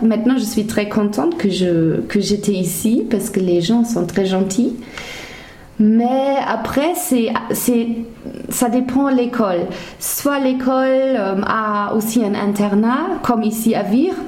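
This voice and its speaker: A woman with a German accent speaks in a fairly high voice at very even loudness, with audible room echo and noticeable background noise. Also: ordinary pitch variation. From Germany (Hesse). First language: German (speaking French). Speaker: former language assistant. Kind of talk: interview. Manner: halting, with frequent hesitations and repetitions.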